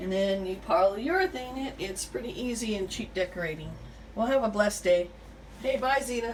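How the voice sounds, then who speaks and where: A woman speaks at a medium pitch with lively intonation. Noticeable background noise is present. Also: moderate pace. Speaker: home decorating vlogger. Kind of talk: tutorial. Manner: halting, many fillers; casual.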